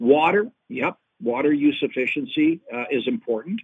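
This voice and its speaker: A man talks at a moderate pace with lively intonation in an ordinary speaking voice. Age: 50s. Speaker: agronomist and agricultural consultant. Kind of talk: interview. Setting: phone call.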